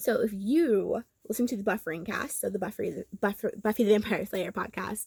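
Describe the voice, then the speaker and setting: A woman with a Southern Californian accent speaks at a medium pitch, her voice recorded dry and close with no echo. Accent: Valley girl. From Los Angeles, California. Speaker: YouTuber and podcaster. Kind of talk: commentary monologue. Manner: casual, filler-heavy.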